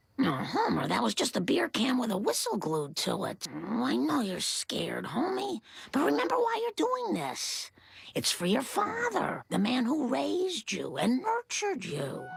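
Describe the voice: The speaker uses a cartoonish character voice. The pace stays moderate.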